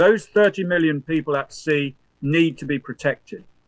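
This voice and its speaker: A man with a British accent, at a fairly quick pace. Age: 70s. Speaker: professor and former naval officer. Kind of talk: lecture. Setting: remote presentation to conference. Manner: halting, with frequent fillers.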